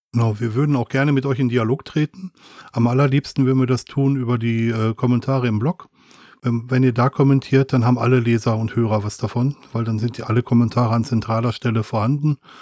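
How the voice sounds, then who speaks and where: A man talks very fast at a medium pitch, his tone dark and mellow and his intonation fairly even. The sound is dry and close with no echo, on a very clean recording with a silent background. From Ruhr area, Germany (Wanne-Eickel). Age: middle-aged. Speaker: podcast co-host. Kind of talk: casual chat.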